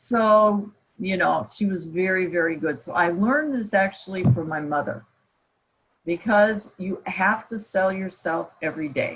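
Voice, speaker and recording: Somewhat breathy and with an American accent, the voice moves at a fairly slow pace with lively intonation. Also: woman, medium pitch for a woman. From US Midwest, Iowa. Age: 60s. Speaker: professor. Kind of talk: guest talk at online camp.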